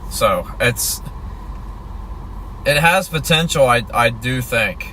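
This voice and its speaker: Someone speaks very slowly in a relaxed tone, with noticeable noise in the background. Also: man. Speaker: storm chaser livestreamer. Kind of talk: live stream commentary. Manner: quiet; casual, relaxed.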